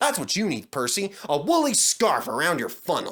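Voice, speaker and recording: A man puts on a character voice. His pitch is high. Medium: read story.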